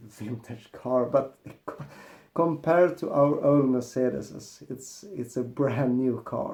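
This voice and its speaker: A man speaks very slowly with a Swedish accent. His pitch sits in the medium range. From Sweden. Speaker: car mechanic youtuber. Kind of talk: casual vlog monologue.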